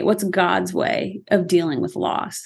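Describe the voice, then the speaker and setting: A woman with a Midwestern accent at a fairly slow pace over a quiet background. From Iowa, US Midwest. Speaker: ministry founder and former teacher. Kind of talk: interview.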